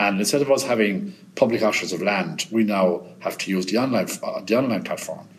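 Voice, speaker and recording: Over noticeable background noise, a man with a Munster Irish accent speaks at medium pitch. His delivery is fairly quick and lively in intonation, with hardly any pauses. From Ireland, Limerick. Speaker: auctioneer. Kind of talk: interview. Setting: on location, echoey room.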